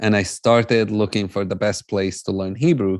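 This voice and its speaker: A man with an Arabic accent speaks in a fairly low pitch at a moderate pace, with fairly even intonation against a quiet background. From Jerusalem, Palestinian. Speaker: peace-building speaker. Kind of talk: conference talk.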